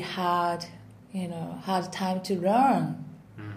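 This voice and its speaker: A woman with a Japanese accent over music in the background. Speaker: singer and vocal coach. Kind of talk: casual interview in English. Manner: halting, many fillers.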